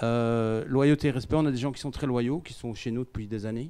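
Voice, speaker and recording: Dark, mellow tone at a fairly quick pace, in a Belgian accent. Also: man. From Belgium. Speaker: company CEO. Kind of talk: conference talk. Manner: hesitant, many fillers.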